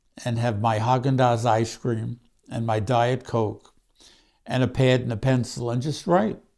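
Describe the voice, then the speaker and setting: A man talks with a Brooklyn accent in a dark, mellow tone. The recording is very clean, with a silent background. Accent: Brooklyn New York. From Brooklyn, New York. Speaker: author. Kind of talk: personal storytelling monologue. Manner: halting, with fillers.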